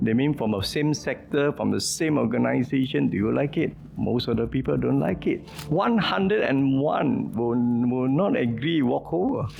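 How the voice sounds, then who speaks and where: A man talks at a moderate pace. Noticeable background noise is present too. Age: 60s. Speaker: entrepreneur and presidential hopeful. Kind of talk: interview answer.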